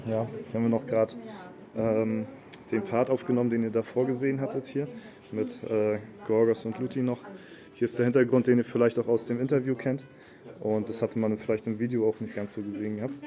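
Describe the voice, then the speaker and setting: A man's medium-pitched, monotone, flat voice at a fairly quick pace, with long, frequent pauses and music in the background. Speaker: gaming YouTuber vlogging. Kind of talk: casual vlog talk. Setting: on return trip. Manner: casual, filler-heavy.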